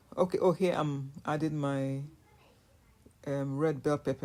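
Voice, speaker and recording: This woman's voice is very deep and low, with a dark, mellow tone and a Nigerian accent. Her intonation stays fairly even. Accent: Nigerian (Yoruba) English. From Nigeria, southwest (Yoruba). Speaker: cooking vlogger. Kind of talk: casual voiceover narration of cooking vlog. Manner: casual, halting with fillers.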